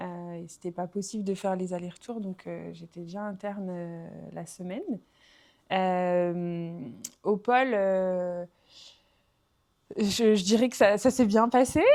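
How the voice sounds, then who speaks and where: A woman with a medium pitch and a dark, mellow tone speaks at a very slow pace, leaving long, frequent pauses. Her loudness swings widely while her pitch varies in an ordinary way. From southwest France, Aveyron. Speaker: former professional basketball player. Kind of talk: podcast interview. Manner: hesitant, many fillers.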